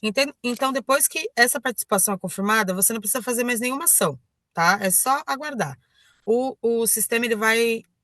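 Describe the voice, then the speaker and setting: This woman talks at a moderate pace with a fairly high pitch and a bright, sharp tone, the sound dry and close with no echo. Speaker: online trainer. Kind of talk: tutorial. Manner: halting, many fillers and self-corrections.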